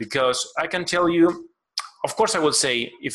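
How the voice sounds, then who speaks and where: Fairly slow speech in a Spanish accent, with a bright, sharp tone and lively intonation. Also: man. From Argentina. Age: 30s. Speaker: collectibles sculptor. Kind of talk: interview. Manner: halting.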